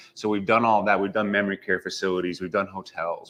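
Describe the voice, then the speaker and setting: A man in a Western US accent, fairly low pitch, monotone, flat intonation. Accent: General American (western US). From Las Vegas, Nevada. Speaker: real estate agent. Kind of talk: interview. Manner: casual.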